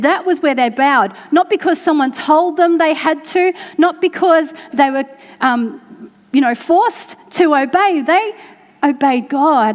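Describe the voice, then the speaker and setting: A woman speaks at a moderate pace. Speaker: church preacher giving a sermon. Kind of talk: sermon to a congregation.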